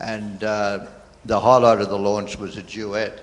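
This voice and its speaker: A man with an Australian accent speaks in a fairly low, monotone, flat voice at a moderate pace, with audible room echo. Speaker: conference audience member. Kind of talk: Q&A comment.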